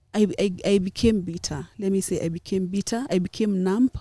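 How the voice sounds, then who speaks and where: A woman with a Kenyan accent, a somewhat breathy, dark, mellow tone and fairly even intonation, in a dry, close sound with no echo. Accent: Kenyan Kamba. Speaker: journalist. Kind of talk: interview answer.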